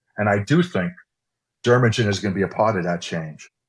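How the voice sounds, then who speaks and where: In an American accent, a man with a fairly low, somewhat breathy voice talks at a fairly quick pace on a very clean recording with a silent background. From New York, US. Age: 60s. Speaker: cosmetics scientist and executive. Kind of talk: interview conversation.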